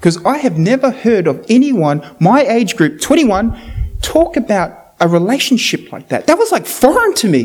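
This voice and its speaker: Over noticeable background noise, a man with a New Zealand accent speaks in an animated tone at a moderate pace, his extremely high pitch swinging very widely. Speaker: preacher. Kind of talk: sermon. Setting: church.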